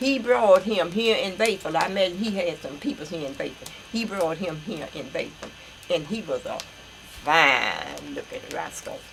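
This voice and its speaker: Someone with an American accent speaks at a moderate pace with lively intonation over noticeable background noise. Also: woman, medium pitch for a woman. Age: 80s+. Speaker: elderly relative recounting family history. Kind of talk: oral history interview. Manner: halting.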